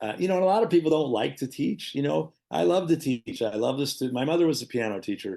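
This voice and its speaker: Very fast speech with very wide pitch swings and a dark, mellow tone. Vocal fry runs through it, against a quiet background. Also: man, fairly high pitch for a man. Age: 60s. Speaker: jazz guitarist and music teacher. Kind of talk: casual interview chat. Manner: halting, many fillers and restarts.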